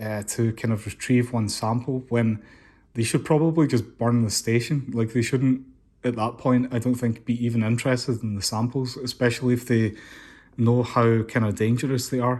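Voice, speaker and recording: At a moderate pace, a man with a Scottish accent speaks at medium pitch with flat, monotone intonation in a very clean recording with a silent background. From Scotland. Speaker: comic book reviewer. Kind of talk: casual talk to camera.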